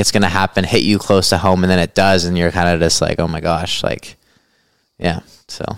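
A man in a western Canadian accent speaks at a fairly quick pace with monotone, flat intonation. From western Canada. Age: 20s. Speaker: ultra runner and cancer survivor. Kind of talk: casual chat. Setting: at his home.

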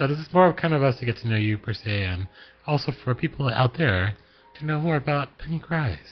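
A man with an American accent talks at a fairly quick pace and a medium pitch. His voice is somewhat breathy, with lively intonation. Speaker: podcast host. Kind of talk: casual chat.

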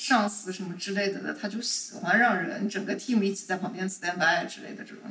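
Noticeable background noise sits behind a woman speaking at a fairly quick pace and medium pitch. Her intonation is fairly even, with big swings in loudness. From China, Shanghai. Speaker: corporate lawyer. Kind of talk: casual chat.

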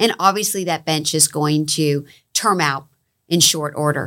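Speaking at a moderate pace, a woman has an unremarkable speaking voice that is fairly low in pitch, with ordinary pitch variation. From Florida, Palm Beach County. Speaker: economic development agency executive. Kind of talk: interview.

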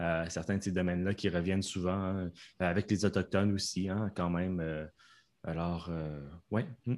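A man's very deep, low voice in a Canadian French accent, fairly slow and monotone with flat intonation and long, frequent pauses, on a very clean recording with a silent background. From Canada. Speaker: professional interpreter. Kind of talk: casual interview. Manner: clear, careful articulation.

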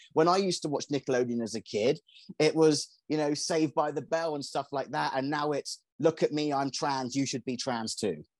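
In an English accent, a man speaks at a fairly high pitch. His pace is moderate. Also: ordinary pitch variation, dry, close sound with no echo, quiet background. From England. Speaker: conspiracy commentator. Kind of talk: casual chat.

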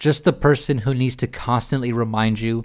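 With an American accent, a man speaks at a moderate pace in a medium pitch with ordinary pitch variation, on a very clean recording with a silent background. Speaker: podcast host. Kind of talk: angry rant, sarcastic and profane, ending in a direct curse at a stranger; casual solo podcast monologue. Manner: fuming, biting and emphatic, disgusted sarcasm with expletives; speaks in a conversational, unscripted style with a casual, slangy tone.

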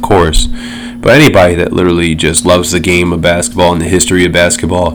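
Music plays in the background as a man with a very deep, low pitch speaks amid audible room echo. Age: 30s. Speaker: podcast host. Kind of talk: casual solo chat. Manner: casual, filler-heavy.

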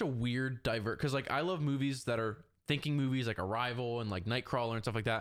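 A man with an unremarkable speaking voice and medium pitch speaks at a moderate pace, with ordinary pitch variation and very even loudness, in a very clean recording with a silent background. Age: 20s. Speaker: podcast guest, aspiring filmmaker and social media enthusiast. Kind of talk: casual chat.

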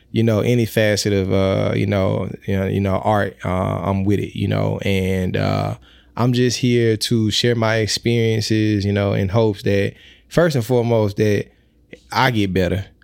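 Fairly low male voice with a Mississippi accent, moderate in pace and fairly even in intonation, on a very clean recording with a silent background. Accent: US Southern (Mississippi). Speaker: musician and rapper. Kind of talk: casual interview.

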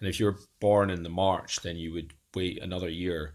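A man with an Edinburgh accent, very deep and low in pitch, at a moderate pace with ordinary pitch variation. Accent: Scottish (Edinburgh). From Scotland, Edinburgh. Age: 40s. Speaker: data modeler and neurodiversity advocate. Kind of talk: interview, personal life story. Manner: halting, many fillers and repetitions.

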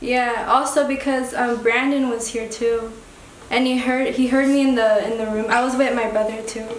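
Delivered at a moderate pace in a monotone, flat intonation, the speech comes with noticeable background noise. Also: woman, high pitch for a woman. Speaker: artist. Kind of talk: casual radio interview. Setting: studio. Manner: soft-spoken, laid-back, hesitant.

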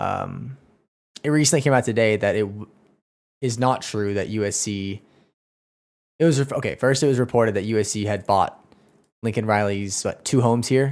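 With long, frequent pauses, a man speaks at a moderate pace in a medium pitch with ordinary pitch variation. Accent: American. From Oklahoma. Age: 20s. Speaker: sports podcaster. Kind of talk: solo rant. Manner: animated.

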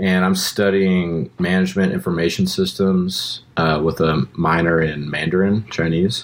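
A man talks with a very deep, low pitch in a monotone, flat intonation. His loudness stays very even, he leaves hardly any pauses, and there is noticeable background noise. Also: fairly slow pace. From Austin, Texas. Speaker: musician and college student. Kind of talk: casual interview. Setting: outdoors.

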